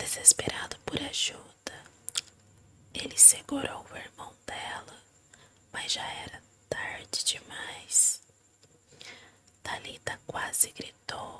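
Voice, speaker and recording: Whispering at a very slow pace, a woman leaves long, frequent pauses against noticeable background noise. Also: big swings in loudness. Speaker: ASMR reader. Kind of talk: ASMR story reading. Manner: soft-spoken.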